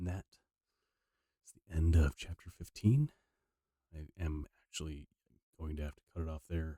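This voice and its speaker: A man with a very deep, low, somewhat breathy voice speaks at a moderate pace with fairly even intonation and long, frequent pauses, in a dry, close sound with no echo. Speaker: audiobook reader and streamer. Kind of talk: reading aloud; casual chat. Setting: live stream. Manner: halting.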